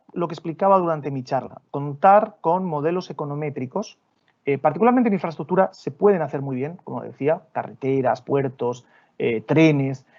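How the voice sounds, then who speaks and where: A man with a Spanish accent, fairly high in pitch, with lively intonation at a moderate pace. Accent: Spanish (Spain). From Spain. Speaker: development bank official. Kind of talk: Q&A answer in a webinar. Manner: halting, repeats words.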